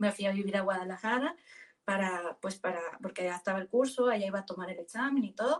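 Somewhat breathy and medium in pitch, a woman talks at a fairly quick pace with ordinary pitch variation. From Mexico, Sinaloa. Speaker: sales manager. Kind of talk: interview.

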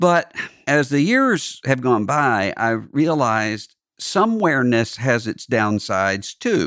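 The speaker has a Southern US accent and lively intonation. The pace is very slow, on a very clean recording with a silent background. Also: man, medium pitch for a man. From US South, Mississippi Gulf Coast. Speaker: podcast host, religious commentator. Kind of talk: solo podcast monologue on music and religion. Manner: halting with frequent fillers and repetitions.

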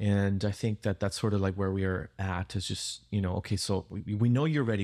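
In a very clean recording with a silent background, a man with a Spanish accent speaks in a dark, mellow, fairly low voice with fairly even intonation. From Peru. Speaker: pastor. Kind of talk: casual interview.

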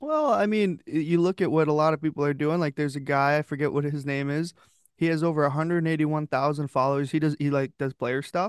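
At a very fast pace, a man with a fairly high pitch talks over a quiet background in a dry, close sound with no echo. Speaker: podcast host. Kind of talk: casual chat. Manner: animated.

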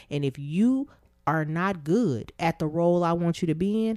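A woman with a plain, everyday voice, fairly low in pitch, with lively intonation. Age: 30s. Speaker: therapist and podcast co-host. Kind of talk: casual chat.

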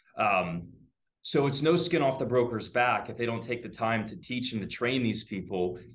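A man's lively intonation carries through audible echo in the room. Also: medium pitch for a man, moderate pace. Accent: American. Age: 20s. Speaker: real estate agent. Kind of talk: casual interview. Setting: video call.

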